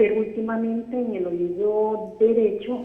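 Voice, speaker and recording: Over noticeable background noise and audible room echo, a woman talks at a fairly slow pace, her medium pitch showing ordinary variation. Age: 60s. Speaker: retired caller. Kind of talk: call-in question.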